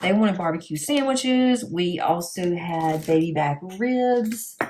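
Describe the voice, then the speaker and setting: A woman speaks at a medium pitch with a Southern US accent. Her voice is somewhat breathy and swings very widely in pitch. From US South. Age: 50s. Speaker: crafting YouTuber. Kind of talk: casual chat.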